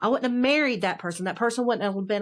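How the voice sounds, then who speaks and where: A woman with a strong Southern US accent and ordinary pitch variation, on a very clean recording with a silent background. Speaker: author. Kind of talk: casual chat.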